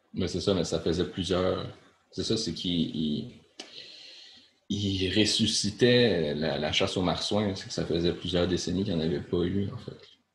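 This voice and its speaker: In audible room echo, a man with a very deep, low pitch talks at a fairly slow pace with ordinary pitch variation. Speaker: podcast co-host. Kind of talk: casual chat.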